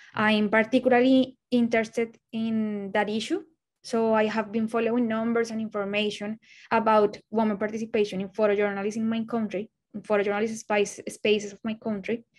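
In a fairly high voice with a Spanish accent, a woman speaks at a fairly quick pace with monotone, flat intonation. Her loudness swings widely over a quiet background. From Colombia. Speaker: photojournalist. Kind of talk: presentation of own work. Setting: video call. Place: home room. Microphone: webcam.

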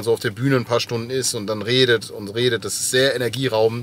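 A man delivers his words at a moderate pace in a flat monotone, with a dry sound and no echo. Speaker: speaker, podcaster on tour. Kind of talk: casual vlog chat. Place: car. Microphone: phone near.

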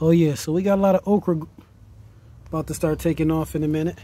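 Fairly quick and fairly high-pitched, a man's voice has a dark, mellow tone in a dry recording with no echo. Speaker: home gardener vlogger. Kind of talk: casual garden tour vlog. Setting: outdoors in a garden. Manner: casual and enthusiastic. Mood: pleased, relaxed. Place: garden. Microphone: phone near.

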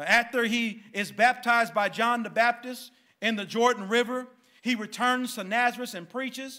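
A man's raised, projected voice with a bright, sharp tone, fairly even intonation and a moderate pace over a quiet background. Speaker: pastor. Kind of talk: sermon. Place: church. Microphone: podium.

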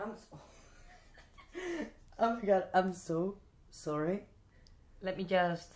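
A woman with a Spanish accent in a playful tone, very slow, with fairly even intonation and long, frequent pauses. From Spain. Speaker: magician. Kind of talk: casual ASMR talk to camera. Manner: playful, chatty.

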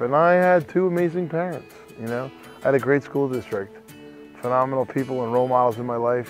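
Music plays behind a man talking at a fairly quick pace. His pitch is medium with ordinary variation. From New Jersey. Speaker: recovering addict and former prisoner. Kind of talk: personal testimony.

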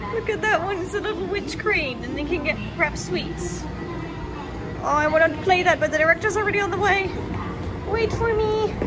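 Clear music plays in the background as the speaker moves at a fairly quick pace with ordinary pitch variation. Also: woman. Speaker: vlogger. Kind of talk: casual vlog chat. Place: shop. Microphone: phone near.

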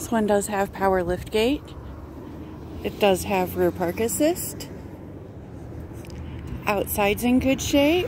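A woman at a moderate pace, with noticeable background noise and a dry sound with no echo. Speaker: car salesperson. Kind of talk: product walk-around commentary. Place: street.

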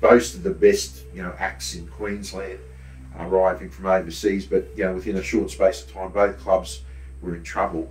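A man with an Australian accent speaks at a moderate pace in a very deep, low voice, his intonation lively and his loudness swinging widely, with faint music playing behind him. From Brisbane, Australia. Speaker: true crime author and tour operator; host or guest historian. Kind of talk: casual chat. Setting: studio. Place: studio. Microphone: studio mic.

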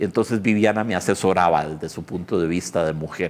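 This man speaks with a Costa Rican accent. His very deep, low voice shows ordinary pitch variation. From Costa Rica, San José area. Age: 50s. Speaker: pianist and writer; interviewee. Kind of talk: interview. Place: studio. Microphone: lapel.

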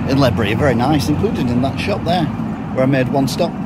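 A man talks while loud background noise fills the clip. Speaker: walking tour vlogger. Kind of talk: casual vlog chat. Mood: wry, joking. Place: street. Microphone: phone near.

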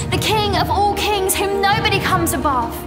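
The speech moves at a moderate pace over loud music in the background. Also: woman. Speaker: spoken word poet. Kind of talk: spoken word poetry performance. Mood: fervent, worshipful. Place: church.

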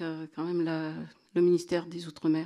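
A woman speaks in a dark, mellow tone at a fairly low pitch. The background is quiet. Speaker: association representative; conference speaker. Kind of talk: panel talk. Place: hall. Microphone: handheld.

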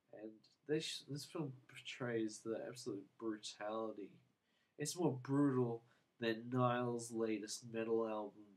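The speaker uses a relaxed tone and fairly even intonation at a fairly slow pace. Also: man. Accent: Australian. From Australia. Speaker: book and movie reviewer. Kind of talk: casual video review. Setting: home video to camera. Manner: mellow, relaxed.

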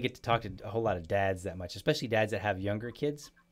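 A man's fairly low voice at a very fast pace, with faint music in the background. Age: 40s. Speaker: podcast host. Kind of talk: casual chat. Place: home room. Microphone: studio mic.

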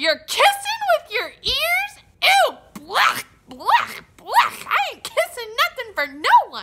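Using a cartoonish character voice, a woman speaks at a very slow pace with an extremely high pitch. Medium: puppet. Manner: excitable, goofy.

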